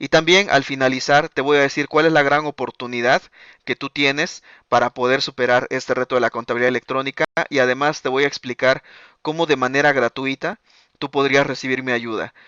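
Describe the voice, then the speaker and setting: A man talks at a fairly quick pace with a fairly high pitch and fairly even intonation. The sound is dry with no echo over a quiet background. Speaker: accounting software trainer; webinar presenter. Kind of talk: live webinar presentation. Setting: online webinar with live chat. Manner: fast; filler-heavy, frequent eh and ok. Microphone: video call.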